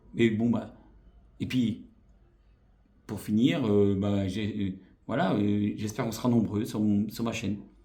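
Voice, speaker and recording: A man speaks at a fairly slow pace with long, frequent pauses, his dark, mellow tone pitched fairly low with fairly even intonation. Audible room echo surrounds the voice. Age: 40s. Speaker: YouTuber. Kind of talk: vlog channel introduction. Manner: hesitant, many fillers.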